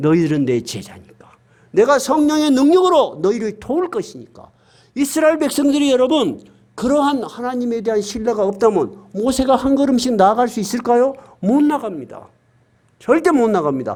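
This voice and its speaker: A man's extremely high voice at a moderate pace, with lively intonation. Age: 60s. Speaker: pastor. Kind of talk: sermon. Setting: church. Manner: emphatic, conversational preaching.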